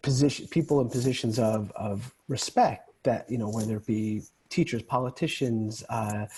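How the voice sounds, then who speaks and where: A man with an American accent speaks at a fairly slow pace and a medium pitch. His voice is somewhat breathy, with fairly even intonation. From New York. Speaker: men's group founder. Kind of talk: podcast interview. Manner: calm.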